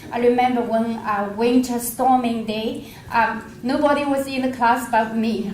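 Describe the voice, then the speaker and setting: Over noticeable background noise and audible room echo, a woman with a non-native accent talks at a fairly slow pace, her high pitch held in a monotone, flat intonation. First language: not English. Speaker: nurse. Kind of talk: panel discussion. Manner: halting.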